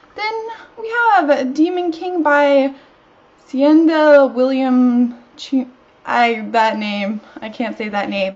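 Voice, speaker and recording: A woman speaks at a very slow pace with long, frequent pauses, her high-pitched voice swinging very widely in pitch over noticeable background noise. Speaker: book vlogger. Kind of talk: casual talk to camera.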